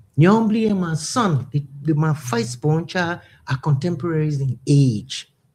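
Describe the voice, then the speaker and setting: A woman's very deep, low, somewhat breathy voice at a very slow pace, with very wide pitch swings. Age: 70s. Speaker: musician and women's advocate. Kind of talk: radio talk show interview.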